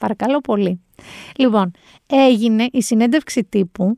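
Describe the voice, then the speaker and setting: Fairly high in pitch and animated in tone, a woman speaks fairly slowly with ordinary pitch variation, the sound dry and close with no echo. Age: 40s. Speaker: podcast host. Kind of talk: casual chat.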